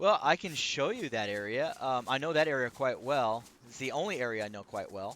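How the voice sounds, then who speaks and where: In a normal speaking voice, the speaker goes at a fairly quick pace with lively intonation and big swings in loudness. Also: man, medium pitch for a man. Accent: American. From United States. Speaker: gaming YouTuber. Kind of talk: casual chat while gaming.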